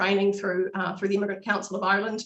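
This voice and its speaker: Noticeable background noise accompanies a woman with a New Zealand accent. Her pitch is medium, and her intonation fairly even. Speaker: local party representative. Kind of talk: webinar panel talk.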